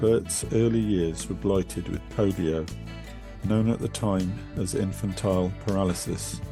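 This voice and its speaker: Over background music, a man with a very deep, low voice speaks fairly slowly, his pitch swinging very widely. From Bristol, England. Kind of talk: personal testimony reading.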